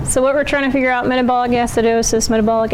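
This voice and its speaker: Amid noticeable background noise and audible room echo, a woman speaks in a monotone, flat way at a fairly high pitch. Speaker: nursing student presenter. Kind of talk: class presentation.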